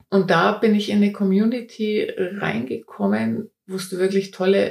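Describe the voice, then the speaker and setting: A woman is speaking. Her pace is fairly slow. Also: hardly any pauses. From Upper Franconia, Germany. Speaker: portrait photographer. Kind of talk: interview.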